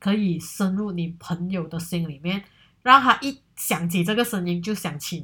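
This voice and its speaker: A woman at a moderate pace with ordinary pitch variation, in a very clean recording over a silent background. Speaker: solo podcast host. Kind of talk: casual monologue. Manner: hesitant, many fillers.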